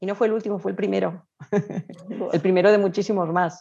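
A woman speaks in a dark, mellow tone at a medium pitch with ordinary pitch variation. Her pace is fairly slow. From Spain. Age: 50s. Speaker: travel blogger and tour organizer. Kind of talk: interview.

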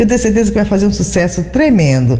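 There is audible room echo and noticeable background noise. A woman speaks with very wide pitch swings. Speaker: chef with a cooking segment. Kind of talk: recipe presentation. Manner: animated.

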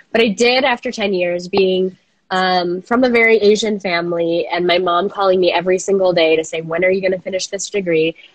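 Here is an unremarkable speaking voice: a woman at medium pitch with fairly even intonation. She moves at a fairly quick pace with hardly any pauses. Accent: American. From Minnesota. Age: 30s. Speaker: coworking space founder. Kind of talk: interview. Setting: video call.

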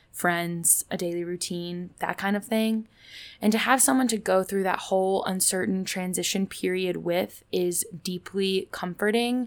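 A woman with an American accent talks at a fairly slow pace and medium pitch with fairly even intonation, an unremarkable speaking voice on a very clean recording with a silent background. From Indianapolis, US Midwest. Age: 20s. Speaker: podcast host and college student. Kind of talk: casual solo podcast monologue.

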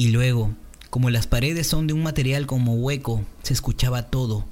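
Somewhat breathy, a man's medium-pitched voice carries ordinary pitch variation at a moderate pace. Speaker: podcast host and video editor. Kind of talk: casual podcast chat. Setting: virtual call with live audience.

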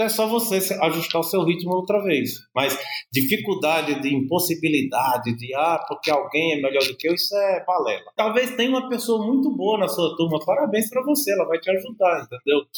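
A man speaks at a fairly quick pace, with hardly any pauses. His voice is high in pitch and swings very widely. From Brazil, Paraíba (northeast), raised partly in São Paulo. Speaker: business executive. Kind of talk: interview.

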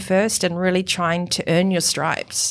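The speaker has a New Zealand accent. The pace is moderate. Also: woman. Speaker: high performance coach and author. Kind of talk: interview. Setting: studio.

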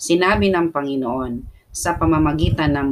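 Her voice has a very deep, low pitch with ordinary pitch variation. The woman speaks at a fairly slow pace. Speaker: prayer leader. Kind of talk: fervent prayer, pray-reading scripture. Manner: animated, impassioned, punctuated by repeated "Amen" and calls to the Lord.

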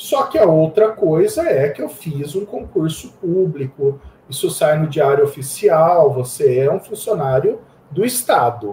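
A man's fairly high voice with lively intonation at a fairly slow pace, over noticeable background noise. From Campinas, São Paulo state, Brazil. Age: 40s. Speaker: IT professional and open-source community founder. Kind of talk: casual interview.

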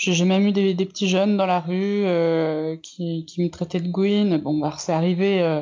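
At a very slow pace and with hardly any pauses, a woman speaks at a fairly low pitch in a monotone, flat delivery. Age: 20s. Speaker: interviewee sharing coming-out story. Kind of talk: testimony. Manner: hesitant, many fillers.

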